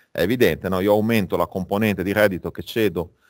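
The man's speech moves along at a moderate pace. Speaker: finance lecturer. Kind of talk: lecture. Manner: halting, with many fillers.

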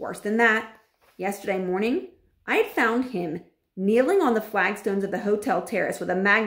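Ordinary pitch variation shapes an unforced reading voice heard over a quiet background.

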